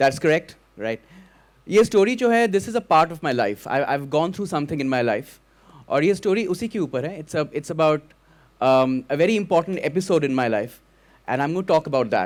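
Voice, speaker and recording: Using very wide pitch swings, a man with a Bengali accent speaks at a fairly quick pace. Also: fairly high pitch for a man. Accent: Bengali Indian English. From Kolkata, India (Bengali). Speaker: storyteller. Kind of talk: stage storytelling. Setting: stage with audience.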